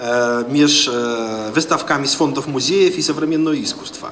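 A man talks fairly slowly, with light noise in the background. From Poland. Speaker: diplomat and professor; professor. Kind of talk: panel discussion. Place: hall. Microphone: handheld.

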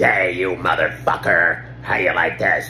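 A man puts on a character voice with a very deep, low pitch. He keeps a moderate pace, and background noise is clearly audible. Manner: menacing.

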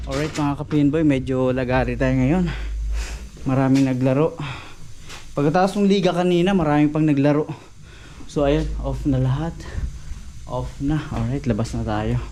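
A man's voice in audible room echo, broken by long, frequent pauses. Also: moderate pace. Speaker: vlogger working at a bowling alley. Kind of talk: casual vlog narration.

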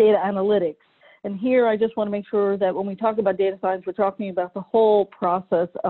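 Talking at a fairly quick pace, a woman keeps her intonation fairly even. The background is quiet. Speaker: speaker. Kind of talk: lecture. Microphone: video call.

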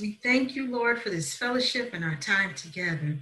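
A woman's bright, sharp tone with lively intonation. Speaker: minister giving a talk. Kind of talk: sermon. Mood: warm, earnest. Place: home room. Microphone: webcam.

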